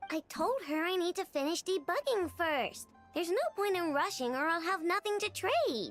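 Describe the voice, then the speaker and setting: A put-on character voice from a woman at an extremely high pitch, with lively intonation, very even loudness, a moderate pace and faint music in the background. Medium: video game. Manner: focused, self-assured.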